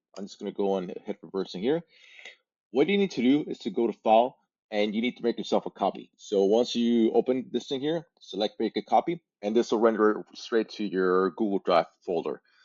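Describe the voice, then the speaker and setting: At a fairly quick pace, a man with a medium pitch speaks with lively intonation. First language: Spanish. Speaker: language learning content creator. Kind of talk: tutorial. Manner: halting, many fillers and repeats.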